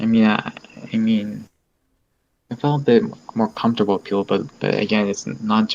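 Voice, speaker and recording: A man's moderate pace, fairly low pitch and monotone, flat intonation. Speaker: YouTube creator and anime convention cosplayer with Asperger's. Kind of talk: interview answer.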